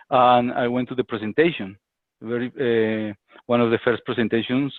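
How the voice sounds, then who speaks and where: Speaking at a moderate pace, a man with a Spanish accent keeps a medium pitch. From Colombia. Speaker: business associate. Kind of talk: interview. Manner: halting.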